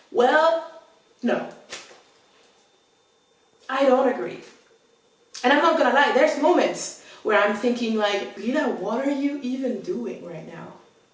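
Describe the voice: In a room with strong echo, a woman speaks at a fairly slow pace with a fairly high pitch, lively intonation and long, frequent pauses.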